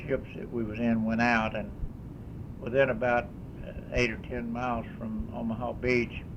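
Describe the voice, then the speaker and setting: With an American accent, a man talks at medium pitch and a moderate pace in a monotone, flat delivery, with audible room echo and noticeable background noise. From Kentucky. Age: 80s+. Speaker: war veteran. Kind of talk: testimony. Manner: halting.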